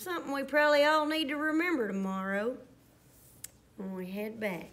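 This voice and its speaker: With a Southern US accent, a woman speaks at a high pitch and a moderate pace in a warm, playful tone, her pitch swinging very widely. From US South. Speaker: primary school teacher. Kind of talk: children's story reading aloud, bedtime-story style. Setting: school STEM lab, video. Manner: animated; warm, playful, soothing at the close. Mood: warm, excited. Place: classroom. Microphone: phone near.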